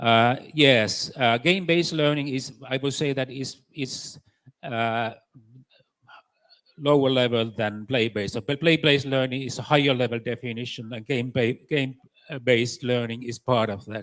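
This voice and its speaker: With a Finnish accent, a man talks at a moderate pace in a medium pitch and fairly even intonation. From Finland. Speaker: education expert. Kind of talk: conference panel answers. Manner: halting, many fillers.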